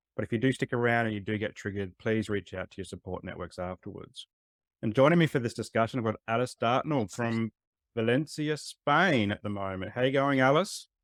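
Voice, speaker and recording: Recorded very cleanly against a silent background, a man speaks with an Australian accent at a medium pitch. The sound is dry and close with no echo, and his pitch varies in an ordinary way. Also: fairly quick pace. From Adelaide, South Australia. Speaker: podcast host. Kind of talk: podcast interview.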